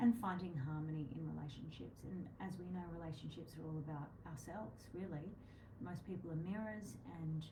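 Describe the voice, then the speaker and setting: A soft-spoken woman with a very deep, low pitch and an Australian accent, fairly quick pace, ordinary pitch variation, audible room echo, and noticeable background noise. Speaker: astrologer co-host of psychic show. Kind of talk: casual live-stream chat on astrology. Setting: live video stream. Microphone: too quiet for some viewers.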